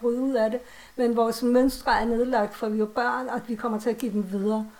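This woman talks at a moderate pace in a high pitch, her intonation monotone and flat. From Copenhagen, Denmark. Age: 40s. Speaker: author and horror fan. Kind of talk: casual conversation. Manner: hesitant, many fillers.

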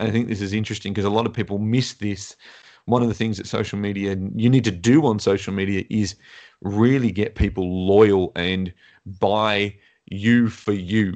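A man has an ordinary speaking voice, fairly low in pitch, with fairly even intonation. He keeps a moderate pace against a quiet background. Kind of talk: casual chat.

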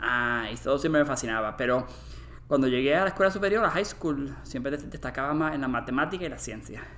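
A man's medium-pitched voice, bright and sharp in tone with vocal fry, moves at a fairly quick pace with lively intonation, and audible room echo can be heard. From Puerto Rico. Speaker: molecular anthropologist. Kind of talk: interview. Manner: halting, with many repetitions.

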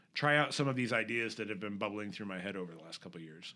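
A man's fairly low voice with an American accent and a bright, sharp tone. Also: very clean recording, silent background. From US Midwest (Iowa). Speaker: small business owner, tech support. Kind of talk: interview.

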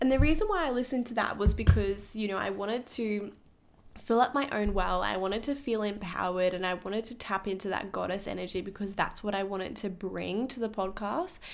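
Vocal fry marks this woman's medium-pitched voice as she talks at a fairly quick pace with ordinary pitch variation. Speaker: spiritual podcast host and psychic reader. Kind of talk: casual solo talk. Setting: podcast recording.

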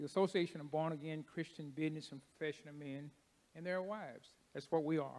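In a Kentucky accent, a man talks with a fairly high voice. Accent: Kentucky, US South. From Kentucky (Paducah). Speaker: church deacon and ministry speaker. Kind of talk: testimony. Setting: church.

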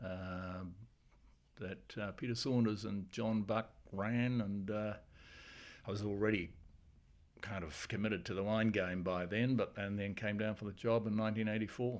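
A man with a New Zealand accent speaks at a moderate pace, with long, frequent pauses. His pitch is fairly low and his intonation fairly even. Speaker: winemaker. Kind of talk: casual chat.

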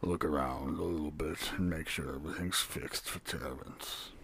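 A man speaks at a moderate pace in a put-on character voice, pitched very deep and low. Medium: actual play. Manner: gruff, impatient.

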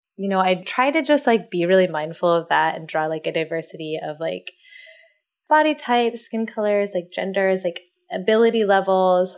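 Lively in intonation and medium in pitch, a woman speaks at a moderate pace. It is a plain, everyday voice. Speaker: freelance illustrator. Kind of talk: interview.

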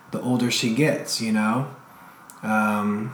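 There is noticeable background noise. A man speaks with a fairly low pitch. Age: 30s. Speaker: father of three. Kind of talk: casual interview.

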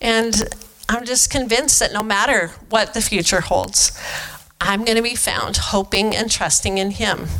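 Over music in the background, a woman with an American accent speaks at a moderate pace, her fairly high voice carrying a fairly even intonation. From eastern Washington, US. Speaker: pastor's wife giving a sermon. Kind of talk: sermon. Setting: church.

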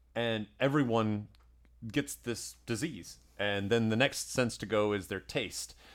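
Fairly low in pitch, a man speaks in a plain, everyday voice with ordinary pitch variation. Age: 30s. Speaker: podcast host. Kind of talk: casual chat. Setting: conference room.

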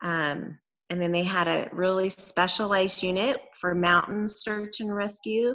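A woman with an American accent speaks fairly slowly in a bright, sharp tone. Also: medium pitch for a woman, ordinary pitch variation. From California, Gilroy. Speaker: former search and rescue volunteer. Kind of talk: interview storytelling.

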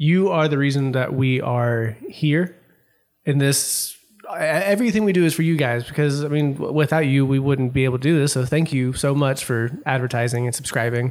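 A man with a normal speaking voice and fairly high pitch talks at a moderate pace with ordinary pitch variation. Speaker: magazine staff podcast co-host. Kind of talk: casual chat.

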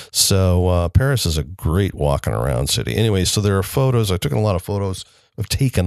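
This man has a very deep, low pitch and an American accent. The sound is dry and close with no echo, against a quiet background. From US Midwest, Elkhart, Indiana. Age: 60s. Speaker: podcast host and community theater director. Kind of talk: solo casual monologue. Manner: halting, many fillers.

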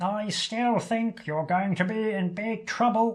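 The pace of this put-on character voice is fairly slow. Its pitch sits fairly high. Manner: harsh, worried.

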